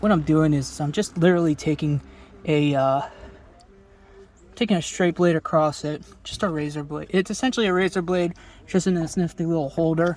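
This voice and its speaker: A man with an American accent speaks at a fairly quick pace in a high-pitched voice, with ordinary pitch variation and long, frequent pauses. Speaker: DIY car repair youtuber. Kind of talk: tutorial. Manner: casual, filler-heavy.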